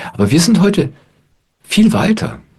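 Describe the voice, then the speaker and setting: A man talks in a calm tone with a somewhat breathy quality. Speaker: spiritual teacher. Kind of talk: satsang talk to audience. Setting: online video call. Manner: calm, reflective.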